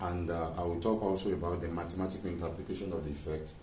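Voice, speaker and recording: Room echo is audible as a man speaks at a fairly quick pace. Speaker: physics teacher. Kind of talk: lecture. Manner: soft-spoken.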